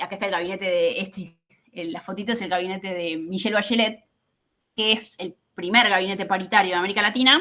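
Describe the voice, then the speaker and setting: Talking at a very fast pace, a woman with a medium pitch and a bright, sharp tone keeps her intonation fairly even while her loudness swings widely. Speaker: political scientist. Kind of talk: academic talk.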